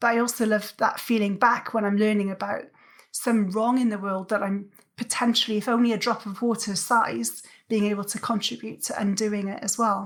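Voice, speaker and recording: A woman with a Welsh accent talks at a fairly quick pace in a fairly high, flat monotone. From South Wales. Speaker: athlete and coach. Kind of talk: interview conversation. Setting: podcast.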